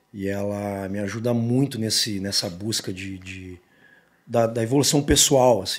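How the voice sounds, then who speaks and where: This man's voice sits fairly low for a man, moving at a fairly slow pace with big swings in loudness and ordinary pitch variation. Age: 40s. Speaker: rock singer; guest. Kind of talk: casual interview. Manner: halting, many repetitions. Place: studio. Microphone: studio mic.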